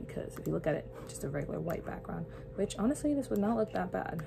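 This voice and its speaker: A woman's voice comes through with noticeable background noise in the mix. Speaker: church creative director and youth leader vlogger. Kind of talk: casual vlog talk with mini tutorial. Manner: casual, chatty.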